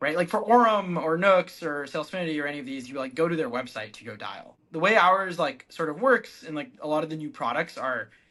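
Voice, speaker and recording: A man with an American accent talks at a fairly quick pace and a fairly high pitch. His tone is bright and sharp, and his loudness swings widely. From California, Bay Area. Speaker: startup founder and CEO. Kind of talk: casual interview.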